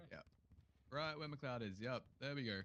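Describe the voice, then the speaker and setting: Medium-pitched and ordinary in pitch variation, a man's voice comes through. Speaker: roleplay police training officer. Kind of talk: roleplay class briefing. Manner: loud.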